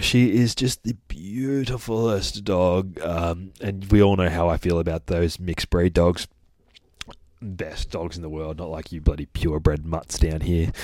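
A man's very deep, low voice with an Australian accent, fairly slow, with ordinary pitch variation and big swings in loudness. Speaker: dog trainer podcast host. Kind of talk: casual monologue. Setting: studio. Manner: rambling, many fillers.

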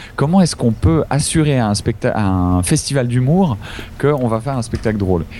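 A man at a medium pitch and a fairly slow pace, over noticeable background noise. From Switzerland. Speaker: improv actor and singer. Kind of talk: casual interview. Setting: Skype call. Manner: hesitant, many repetitions.

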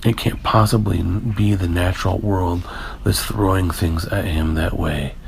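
Speaking fairly slowly with a very deep, low pitch, the man keeps his intonation fairly even against noticeable background noise. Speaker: podcast host. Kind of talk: solo casual monologue. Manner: stilted.

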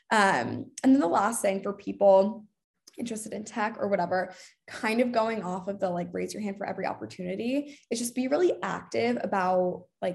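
Against a quiet background, a woman with an American accent talks at a fairly quick pace in a medium pitch, with lively intonation and vocal fry. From Boston, raised partly in London. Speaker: marketing coordinator. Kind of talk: casual interview.

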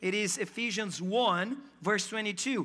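An animated voice with a non-native accent. The recording is very clean, with a silent background. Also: man. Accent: foreign. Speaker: pastor. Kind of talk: sermon. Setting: church.

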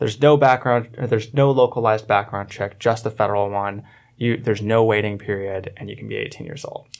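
With an American accent, a man in a plain, everyday voice talks at a fairly quick pace with medium pitch, fairly even intonation and big swings in loudness. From Orlando, Florida. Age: 20s. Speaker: campaign manager. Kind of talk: radio panel discussion. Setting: studio.

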